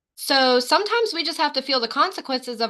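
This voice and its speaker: Raised and projected, a bright, sharp voice with an American accent speaks fairly quickly with lively intonation over a quiet background. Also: woman. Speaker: sales team leader and trainer. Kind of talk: training session. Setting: video call.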